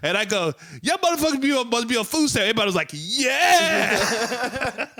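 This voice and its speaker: With music behind him, a man uses a raised, projected voice of extremely high pitch, swinging very widely at a fairly quick pace. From Nigeria. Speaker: stand-up comedian. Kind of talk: casual podcast chat. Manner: animated storytelling.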